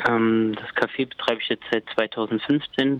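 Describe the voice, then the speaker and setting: Speaking at a very slow pace, a man uses a medium pitch and fairly even intonation. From Thuringia, Germany. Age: 30s. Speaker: café owner and coffee roaster. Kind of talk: interview. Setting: phone call. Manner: hesitant, many filler sounds.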